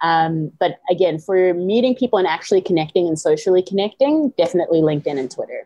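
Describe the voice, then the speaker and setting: A woman talks at a very fast pace with lively intonation and hardly any pauses. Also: medium pitch for a woman. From South Africa, Johannesburg, raised partly in US. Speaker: yoga, meditation and mindset teacher. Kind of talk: podcast interview. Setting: remote call.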